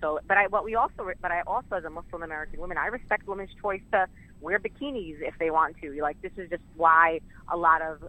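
With a New York accent, a woman talks at a very fast pace in a bright, sharp tone, her fairly low pitch moving with ordinary variation. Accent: New York City. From Brooklyn, New York (Sunset Park). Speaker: community advocate. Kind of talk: interview.

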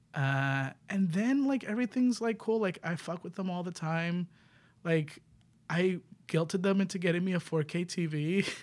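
A high-pitched man talks at a fairly slow pace. The recording is very clean, with a silent background. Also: ordinary pitch variation. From New York City, the Bronx. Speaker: queer improv performer. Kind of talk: casual chat.

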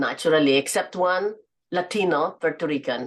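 Speaking fairly slowly with a Filipino accent, a woman uses a fairly low pitch. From Philippines (Sorsogon). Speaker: businesswoman and author. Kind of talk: interview.

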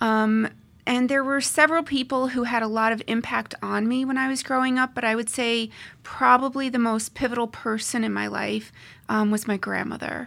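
In an American accent, the speaker talks at a moderate pace with monotone, flat intonation on a very clean recording with a silent background. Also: woman, fairly high pitch for a woman. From US Northeast. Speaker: family lawyer. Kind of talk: interview. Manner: halting, many fillers.

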